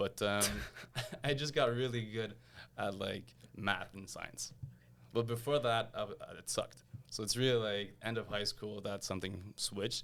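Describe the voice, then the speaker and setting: With a Quebec accent, a man with a fairly low voice speaks at a moderate pace, his pitch varying in an ordinary way and his speech broken by long, frequent pauses. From Quebec, Montreal. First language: French. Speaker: engineer and lamp designer. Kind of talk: interview conversation. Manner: casual with fillers and repetitions.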